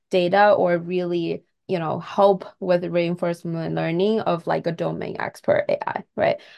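A woman speaks with a Chinese accent at a fairly slow pace. She hardly pauses at all. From China. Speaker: tech company co-founder and CTO. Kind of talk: casual interview chat.

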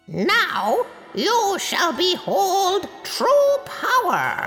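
In a put-on character voice, the speaker talks at a very slow pace with a shrill, extremely high pitch while faint music plays in the background. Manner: triumphant, menacing.

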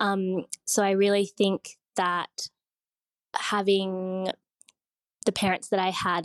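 With an Australian accent, a woman speaks at a medium pitch in a dry, close sound with no echo. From Sydney, Australia. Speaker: designer. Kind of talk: casual interview chat.

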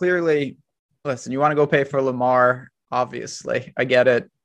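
Fairly even in intonation, a man speaks at medium pitch. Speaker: fantasy sports analyst. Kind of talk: casual sports podcast chat.

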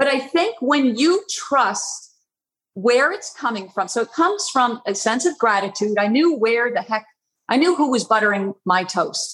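At a fairly slow pace, a woman with a high pitch makes very wide pitch swings. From Long Island, New York. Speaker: artist. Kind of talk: interview.

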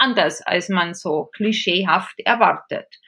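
Her bright, sharp tone and lively intonation carry at a fairly slow pace as a woman speaks. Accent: strong Bavarian. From Bavaria, Regensburg. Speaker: theology professor and intercultural consultant. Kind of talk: interview.

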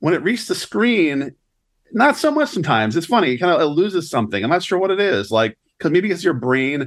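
In a very clean recording with a silent background, a man with an ordinary speaking voice talks at a fairly quick pace with lively intonation. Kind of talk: casual chat.

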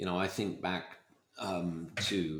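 This man speaks with a British accent. His pitch is very deep and low, with ordinary variation. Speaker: podcast host. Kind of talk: interview. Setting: video call.

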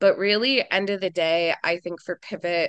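Against a quiet background, a woman with an American accent speaks in an unremarkable speaking voice, fairly low in pitch, at a fairly slow pace with ordinary pitch variation. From US Midwest, rural mid-Michigan. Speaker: solar energy operations director. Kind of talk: interview.

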